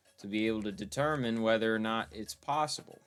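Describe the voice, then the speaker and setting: A man at medium pitch, with ordinary pitch variation and a moderate pace, over music in the background. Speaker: gaming YouTuber. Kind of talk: casual gameplay commentary. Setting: bedroom.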